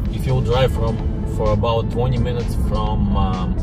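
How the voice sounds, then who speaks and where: A man at a fairly slow pace, dry sound with no echo, loud music in the background. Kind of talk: casual vlog chat. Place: car. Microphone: phone near.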